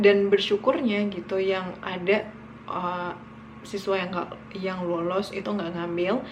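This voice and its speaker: A woman with a West Sumatran accent at a medium pitch and a fairly slow pace, with audible room echo and noticeable background noise. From West Sumatra, Indonesia (Minangkabau village near Bukittinggi). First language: Minangkabau (speaking Indonesian). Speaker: vlogger. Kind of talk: casual storytelling vlog. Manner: casual, with many fillers.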